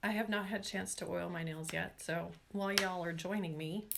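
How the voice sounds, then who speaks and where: A woman speaks with an American accent. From Washington state, US Pacific Northwest. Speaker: nail care YouTuber. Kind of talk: live stream chat with viewers. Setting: live stream. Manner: casual, chatty with fillers.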